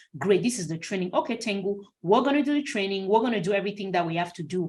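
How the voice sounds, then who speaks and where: Very fast, somewhat breathy speech with ordinary pitch variation. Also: woman. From Cameroon. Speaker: clinical research consultant. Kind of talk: webinar Q&A. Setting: video call webinar.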